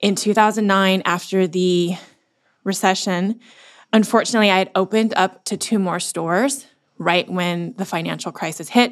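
On a very clean recording with a silent background, a woman with a normal speaking voice talks at a moderate pace and medium pitch with fairly even intonation. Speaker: business owner and former corporate executive. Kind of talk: casual interview chat.

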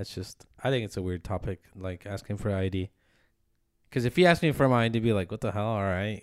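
A man's fairly low pitch, ordinary pitch variation and very fast pace in a very clean recording with a silent background. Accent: American. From Phoenix, Arizona, US. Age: 20s. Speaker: podcast co-host. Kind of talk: casual chat. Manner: joking, casual.

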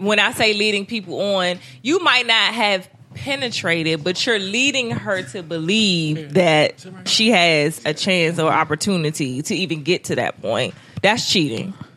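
Against noticeable background noise, the speaker talks at a fairly slow pace with lively intonation. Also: woman, medium pitch for a woman. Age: 30s. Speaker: podcast guest. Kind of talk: casual chat.

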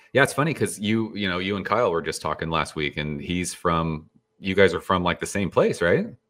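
In a very clean recording with a silent background, a man with an American accent speaks fairly quickly in a very deep, low pitch with ordinary pitch variation. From California, San Jose. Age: 40s. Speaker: beer YouTuber. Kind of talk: casual chat.

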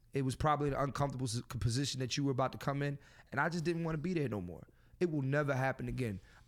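On a very clean recording with a silent background, a man with an American accent speaks at a very fast pace with ordinary pitch variation. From Philadelphia. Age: 30s. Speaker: comedian and podcast host. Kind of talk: casual chat. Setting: studio, also streamed live on Instagram. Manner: animated.

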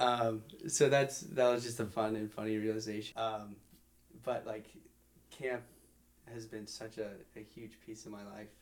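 Speaking at a moderate pace, a man uses a medium pitch with big swings in loudness. Long, frequent pauses break up his speech. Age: 20s. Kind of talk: casual chat.

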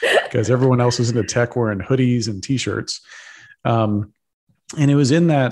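A normal speaking voice with an American accent, fairly even intonation and a fairly quick pace against a quiet background. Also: man. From Texas. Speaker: entrepreneur and Bitcoin advocate. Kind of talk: podcast interview.

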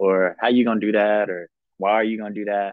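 Very fast delivery with a Southern US accent. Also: man. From South Carolina, Columbia. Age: 20s. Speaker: baseball player and reality TV contestant. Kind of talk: casual interview.

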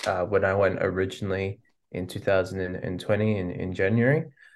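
With an Australian accent and a very deep, low pitch, a man talks at a moderate pace in a fairly even intonation against a quiet background. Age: 20s. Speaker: musician. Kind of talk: interview. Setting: video call.

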